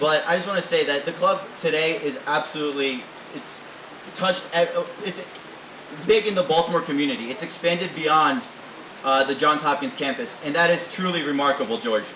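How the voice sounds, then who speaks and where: Here a man talks at a fairly quick pace. Background noise is noticeable. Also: fairly high pitch for a man, ordinary pitch variation. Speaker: recent graduate, introducing speaker. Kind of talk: introduction speech. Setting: reception at private estate, with audience. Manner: animated.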